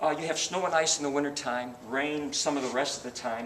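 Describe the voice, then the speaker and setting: Amid noticeable background noise and audible room echo, a man speaks fairly quickly at a fairly high pitch. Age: 60s. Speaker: car salesman. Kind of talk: sales pitch.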